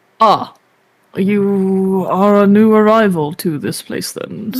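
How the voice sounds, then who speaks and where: A man's put-on character voice, high in pitch, fairly slow and fairly even in intonation. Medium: virtual streamer.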